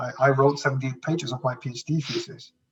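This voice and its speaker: Somewhat breathy, a man talks at a fairly quick pace with a medium pitch. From Canary Islands, Spain. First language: Spanish. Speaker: business executive. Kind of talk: podcast interview. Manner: halting, many repetitions.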